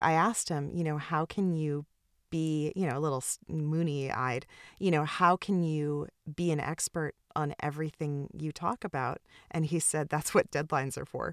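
The tone is animated. The sound is dry and close, with no echo. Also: woman, very deep, low pitch for a woman, moderate pace. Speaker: art history podcast host. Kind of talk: casual interview. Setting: recording from a closet, remote call. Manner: animated, laughs often.

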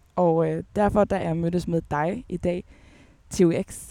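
Speaking at a very slow pace, a woman has a fairly low pitch, a dark, mellow tone and fairly even intonation. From Denmark, Aalborg. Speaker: podcast host. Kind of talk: interview. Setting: outdoors in a park.

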